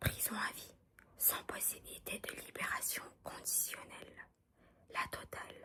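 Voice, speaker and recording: Whispering, a woman speaks at a very slow pace. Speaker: ASMR content creator. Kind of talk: whispered audiobook reading. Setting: studio, close-mic ASMR. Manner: whispered, soft, calming.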